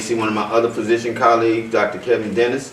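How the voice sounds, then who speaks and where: Over noticeable background noise and audible room echo, a man speaks very fast at a fairly low pitch. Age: 60s. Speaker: physician. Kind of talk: panel discussion. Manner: halting, repeats words.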